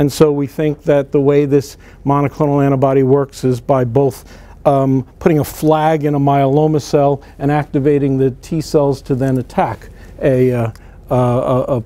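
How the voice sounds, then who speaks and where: This man talks at a fairly slow pace in a New Jersey accent, his fairly high voice staying monotone and flat. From northern New Jersey. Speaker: physician and cancer researcher. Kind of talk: conference lecture.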